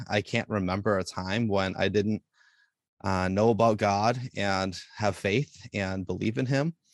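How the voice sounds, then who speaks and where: In a normal speaking voice, a man talks at a fairly low pitch and a fairly slow pace with ordinary pitch variation, the sound dry and close with no echo against a quiet background. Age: 40s. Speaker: youth pastor. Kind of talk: casual chat.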